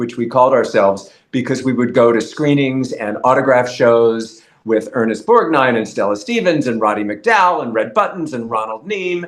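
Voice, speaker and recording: This man's voice rests at a medium pitch and shows ordinary pitch variation. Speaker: journalist and author. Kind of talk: casual interview. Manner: enunciates clearly.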